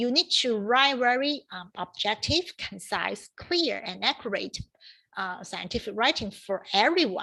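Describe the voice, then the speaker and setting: A woman speaks with a Chinese accent and lively intonation, her tone bright and sharp. The recording is very clean, with a silent background. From China. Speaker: professor. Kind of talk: lecture. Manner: halting.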